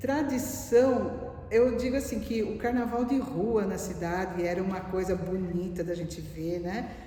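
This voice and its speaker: Over noticeable background noise and audible room echo, a woman of medium pitch talks at a fairly slow pace with hardly any pauses and ordinary pitch variation. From Valinhos, São Paulo state, Brazil. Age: 60s. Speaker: retired administrative manager. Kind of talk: oral history interview. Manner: conversational, reminiscent.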